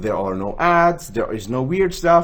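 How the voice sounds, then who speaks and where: A man with an Arabic accent and very wide swings in pitch. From Switzerland. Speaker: gaming channel host. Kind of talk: tutorial. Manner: casual, with fillers.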